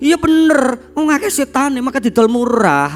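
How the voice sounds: A man puts on a character voice, pitched extremely high and raised to project. Faint music plays in the background. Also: moderate pace.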